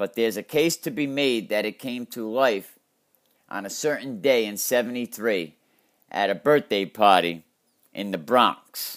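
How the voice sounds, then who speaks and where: With a Connecticut accent, a man speaks in lively intonation. The recording is very clean, with a silent background. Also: medium pitch for a man, fairly slow pace. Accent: Connecticut New England. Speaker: podcast host. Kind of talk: storytelling narration.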